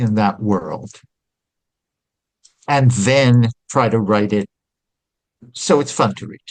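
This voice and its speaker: Pitch varies in an ordinary way while the talking proceeds fairly slowly. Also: man. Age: 60s. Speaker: author and music historian. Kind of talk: interview conversation. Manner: conversational, hesitant fillers.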